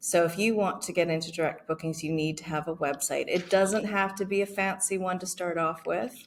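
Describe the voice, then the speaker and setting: A woman with a Canadian accent talks at a fairly quick pace with hardly any pauses. She has a plain, everyday voice and a fairly low pitch. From Canada. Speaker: marketing expert. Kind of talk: interview.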